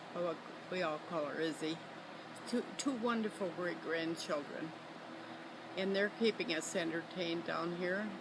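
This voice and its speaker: An American accent comes through at a fairly slow pace, with long, frequent pauses and ordinary pitch variation. Audible room echo and noticeable background noise sit behind the voice. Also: woman, fairly low pitch for a woman. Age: 90s. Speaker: grandmother interviewed for family record. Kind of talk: casual family interview. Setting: outdoors on a lakeside deck. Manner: halting, with frequent fillers.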